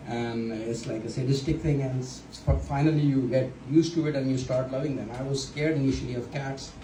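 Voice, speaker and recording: Over noticeable background noise, a man of medium pitch talks at a fairly quick pace with fairly even intonation and hardly any pauses. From Pakistan. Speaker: stand-up comedian. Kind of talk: stand-up. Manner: halting, many fillers.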